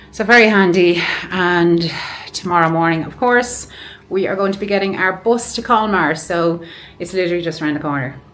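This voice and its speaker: With noticeable background noise and audible room echo, a woman in an Irish accent talks at a fairly quick pace, her fairly low pitch showing ordinary variation. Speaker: travel vlogger. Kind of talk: travel vlog narration. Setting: on a bus.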